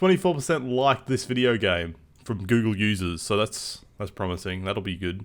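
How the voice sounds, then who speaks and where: In an Australian accent, a man speaks at a fairly low pitch. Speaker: gaming YouTuber. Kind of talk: casual vlog monologue.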